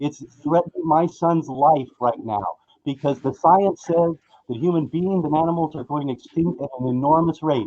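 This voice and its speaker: A man speaks at a moderate pace with a dark, mellow tone. His pitch is fairly high, with ordinary variation. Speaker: public commenter at hearing. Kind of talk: public comment. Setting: remote call-in. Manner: impassioned. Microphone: connection cutting out.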